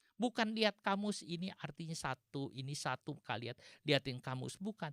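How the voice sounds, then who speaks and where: In a dry, close sound with no echo, the speaker talks at a moderate pace with a West Javanese accent and very wide pitch swings. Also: man. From West Java (Sundanese). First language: Sundanese (speaking Indonesian). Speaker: pastor. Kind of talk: sermon.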